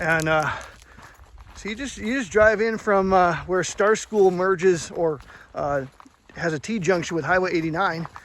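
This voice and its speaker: A man's high voice in a relaxed tone, moderate pace, ordinary pitch variation and long, frequent pauses. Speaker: hiking vlogger. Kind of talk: casual vlog narration. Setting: outdoors on a mountain trail. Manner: relaxed, hesitant with fillers.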